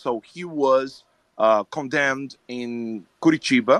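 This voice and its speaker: The speaker has a Portuguese accent, a bright, sharp tone and ordinary pitch variation. The sound is dry and close, with no echo. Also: man. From Brazil. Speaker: participant. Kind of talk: heated debate. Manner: halting.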